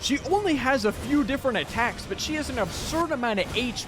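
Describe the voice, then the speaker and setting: A man's extremely high voice with lively intonation at a moderate pace, music playing behind him. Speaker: gaming youtuber. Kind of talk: gameplay commentary with narration.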